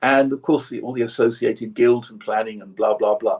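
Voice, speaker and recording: A somewhat breathy man with a southern English accent, at a moderate pace. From southern England (Surrey). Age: 70s. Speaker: long-time meditation practitioner. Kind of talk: interview conversation. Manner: repetitive, stammering restarts.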